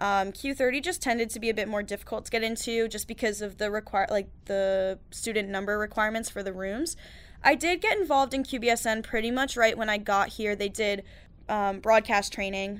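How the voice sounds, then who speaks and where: On a very clean recording with a silent background, a woman with an American accent uses an unremarkable speaking voice, talking at a fairly quick pace with fairly high pitch and ordinary pitch variation. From New York. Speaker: university student. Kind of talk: casual interview.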